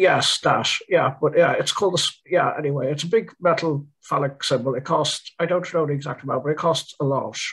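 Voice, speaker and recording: Speaking with an Irish accent at a fairly high pitch, a man talks with ordinary pitch variation and hardly any pauses against a quiet background. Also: moderate pace. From Ireland. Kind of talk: online panel presentation. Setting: video call. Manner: halting. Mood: wry, joking. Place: home room. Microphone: video call.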